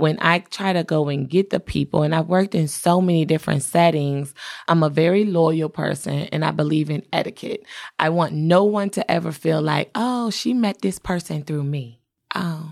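An ordinary speaking voice from a woman, fairly low in pitch, with ordinary pitch variation and a moderate pace, on a very clean recording with a silent background. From Washington, D.C. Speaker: makeup artist and beauty entrepreneur. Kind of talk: interview.

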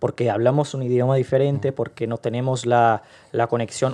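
A man with a medium-pitched, dark, mellow tone speaks in a monotone, flat intonation at a fairly quick pace. The background is quiet. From Brazil, Rio de Janeiro. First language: Portuguese (speaking Spanish). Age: young. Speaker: podcast guest. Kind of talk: casual interview.

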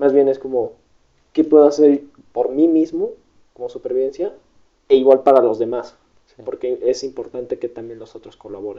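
Long, frequent pauses and big swings in loudness from a man speaking at a moderate pace. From Mexico, Guadalajara. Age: young. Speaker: podcast guest. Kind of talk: casual interview.

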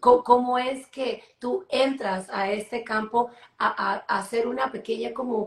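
Here a woman talks in a normal speaking voice. Her pitch is fairly high, with ordinary pitch variation. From Peru. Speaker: entrepreneur and artist, co-host. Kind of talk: live online talk show.

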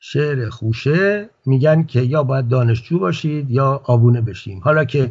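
Somewhat breathy, a man speaks at a medium pitch and a moderate pace. His pitch varies in an ordinary way, and he hardly pauses. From Iran, Tehran. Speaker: writer. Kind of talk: interview.

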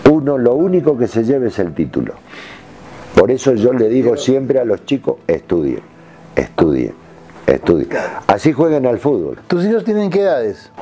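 At a moderate pace, a man of medium pitch speaks with very wide pitch swings and long, frequent pauses, with noticeable background noise behind him. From Argentina, Jujuy. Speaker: retired footballer. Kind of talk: interview.

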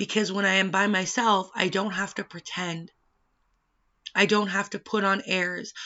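At a moderate pace, a woman with a Western Canadian accent speaks in a medium pitch with monotone, flat intonation. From British Columbia, Canada. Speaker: podcast host. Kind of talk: personal monologue.

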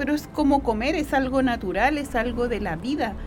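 A woman with a Chilean accent talks at a moderate pace amid noticeable background noise. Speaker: host's mother. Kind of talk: casual chat.

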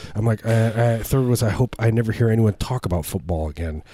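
Speaking at a fairly quick pace, a man has a fairly low pitch. His voice is somewhat breathy, with a dark, mellow tone. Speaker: comedy podcast host. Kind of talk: casual chat. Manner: joking, rambling.

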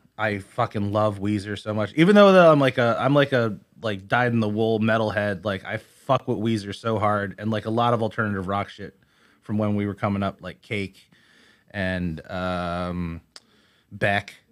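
Over a silent background in a very clean recording, a man talks at a moderate pace in a plain, everyday voice, fairly low in pitch with fairly even intonation. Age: 30s. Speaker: musician and illustrator. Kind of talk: casual interview. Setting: studio.

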